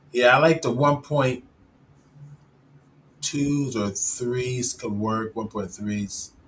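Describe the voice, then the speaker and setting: Noticeable background noise surrounds a man with an American accent and a medium pitch. He speaks at a very slow pace with ordinary pitch variation. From Chicago. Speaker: 3D software instructor and live stream host. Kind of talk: tutorial. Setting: live stream.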